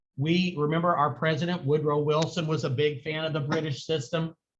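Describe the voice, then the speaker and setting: A man speaks with a Southern US accent at a moderate pace. His pitch is fairly high. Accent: US South. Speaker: high school history teacher. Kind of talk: lecture.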